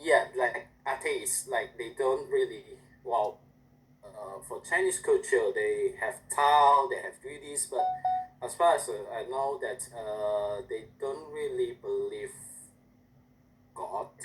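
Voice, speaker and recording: With an Indonesian accent, the speaker moves at a very slow pace with long, frequent pauses and big swings in loudness. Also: man. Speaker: language student. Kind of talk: class presentation. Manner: halting.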